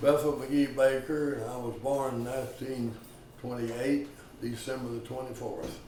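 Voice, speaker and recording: In a Texan accent, a man of medium pitch talks at a moderate pace in a monotone, flat intonation with big swings in loudness. Audible room echo and noticeable background noise are present. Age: 90s. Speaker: war veteran. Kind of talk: oral history interview.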